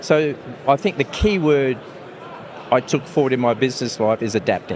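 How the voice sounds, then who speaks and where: With an Australian accent, a man talks at a moderate pace in a medium pitch and fairly even intonation, over noticeable background noise. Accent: Australian (Ocker). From England, Italy, then Australia and New Zealand. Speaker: mining company executive. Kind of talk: interview. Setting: conference lounge.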